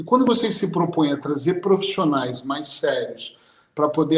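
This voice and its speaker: A man speaks in a high pitch at a moderate pace with ordinary pitch variation, and noticeable background noise can be heard. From Brazil. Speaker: hypnotherapist. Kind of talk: panel discussion closing remarks.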